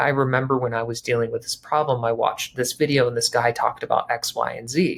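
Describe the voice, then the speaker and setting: Somewhat breathy speech with fairly even intonation. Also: man. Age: 30s. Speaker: branding consultant. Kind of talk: tutorial. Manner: fast.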